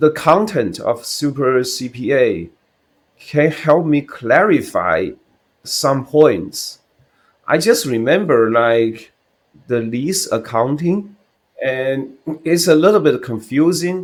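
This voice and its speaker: Speaking very slowly with long, frequent pauses, a man with a Chinese accent uses lively intonation at a fairly high pitch. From China. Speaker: CPA exam candidate. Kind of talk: interview answer. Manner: hesitant, halting.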